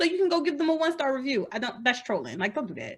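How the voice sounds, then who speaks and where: Animated in tone, a woman talks at a high pitch. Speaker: indie romance author. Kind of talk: casual interview chat. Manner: loud.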